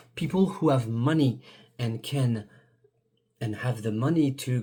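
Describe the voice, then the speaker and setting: A man speaks with a French accent at a medium pitch, his tone dark and mellow. His voice is somewhat breathy, with ordinary pitch variation. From France. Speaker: YouTuber. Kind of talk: video monologue. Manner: halting, many fillers and restarts.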